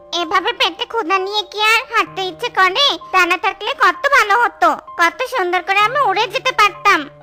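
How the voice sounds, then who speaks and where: Clear music plays in the background as a cartoonish character voice with an extremely high pitch speaks at a moderate pace. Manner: warm, caring.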